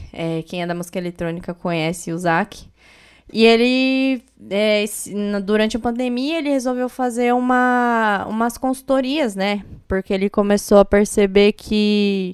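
On a very clean recording with a silent background, a woman speaks at a fairly slow pace with a fairly high pitch and ordinary pitch variation. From Paraná, Brazil (Paranavaí). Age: 20s. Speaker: DJ. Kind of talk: interview.

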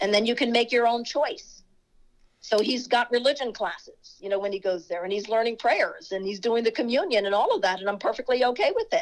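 A woman with an American accent and a plain, everyday voice speaks at a fairly quick pace with a fairly high pitch. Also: ordinary pitch variation. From US Virgin Islands (St. Croix). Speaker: running coach. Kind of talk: interview conversation.

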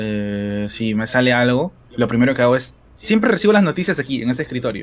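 The speech moves at a fairly quick pace. Its intonation is lively. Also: man. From Peru, Lima (Surquillo). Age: 20s. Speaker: esports caster. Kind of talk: interview.

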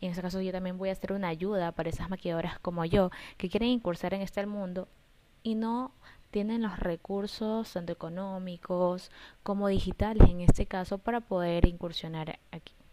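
This woman talks fairly quickly at a medium pitch, with a dark, mellow tone, fairly even intonation and big swings in loudness. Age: 20s. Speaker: makeup artist. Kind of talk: personal pitch monologue.

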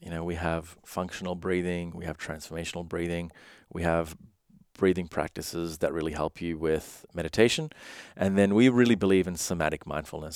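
Against a silent background in a very clean recording, a man with a very deep, low voice talks at a fairly quick pace with fairly even intonation. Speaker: podcast guest, meditation teacher; meditation app founder.

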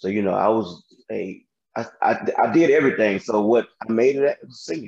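With an American accent, a man speaks at a moderate pace and medium pitch, his intonation lively and touched with vocal fry. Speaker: singer in R&B group. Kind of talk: interview.

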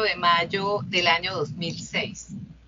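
Noticeable background noise and a woman's very slow pace of speech. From Colombia, Bucaramanga (Santander). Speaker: judge. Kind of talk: interview. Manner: formal.

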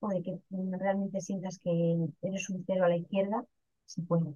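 A woman with a northern Castilian accent speaks at medium pitch in a somewhat breathy voice with a dark, mellow tone and monotone, flat intonation. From Spain, León province (northwest). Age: 40s. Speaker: direct-sales cosmetics seller. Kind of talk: casual interview testimony.

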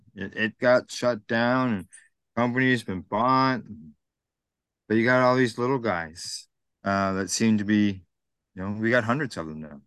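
Against a quiet background, a man talks at medium pitch with ordinary pitch variation and long, frequent pauses. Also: moderate pace. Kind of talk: casual interview. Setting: outdoors.

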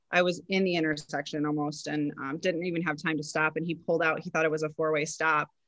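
Very fast speech in an American accent, flat and monotone in intonation, runs on with hardly any pauses. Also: woman, very deep, low pitch for a woman. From western New York. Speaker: entrepreneur and motivational speaker. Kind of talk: interview.

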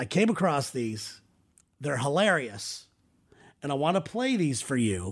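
An animated, playful, somewhat breathy voice at a fairly slow pace, with long, frequent pauses and very wide pitch swings, in a very clean recording with a silent background. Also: man. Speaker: podcast host. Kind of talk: casual comedic banter with his wife, podcast hosting. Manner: animated, playful, joking.

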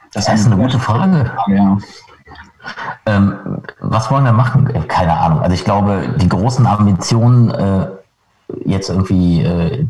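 A man's plain, everyday voice, fairly low in pitch, with lively intonation. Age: 40s. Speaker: punk rock guitarist. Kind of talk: casual interview. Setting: video call.

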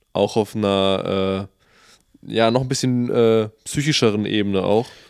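An unremarkable speaking voice from a man at medium pitch and moderate pace, in a very clean recording with a silent background. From Bremen, northern Germany. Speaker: podcast co-host. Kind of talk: casual chat.

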